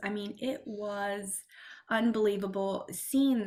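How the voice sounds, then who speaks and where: A woman speaks with a Spanish accent at a medium pitch. Her intonation is fairly even. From Spanish-speaking family. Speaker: health coach. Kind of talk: podcast interview. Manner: hesitant, many fillers.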